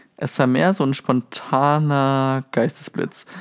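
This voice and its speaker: A man is talking. The sound is dry and close, with no echo. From southwestern Germany, near Stuttgart. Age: 20s. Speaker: podcast host, university student. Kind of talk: casual podcast monologue. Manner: animated.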